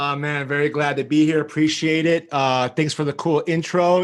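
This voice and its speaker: In a very clean recording with a silent background, a man speaks in a fairly high pitch with monotone, flat intonation. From Chicago, US Midwest. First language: Greek. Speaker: marketing agency founder. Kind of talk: podcast interview. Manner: casual, filler-heavy.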